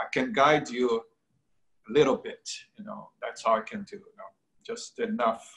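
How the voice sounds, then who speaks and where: With long, frequent pauses at a moderate pace, a man speaks in a fairly high pitch with very wide pitch swings and big swings in loudness over a quiet background. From Brazil, Rio de Janeiro. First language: Portuguese. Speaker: painter. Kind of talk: interview. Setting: video call. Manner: halting. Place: home room. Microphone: video call.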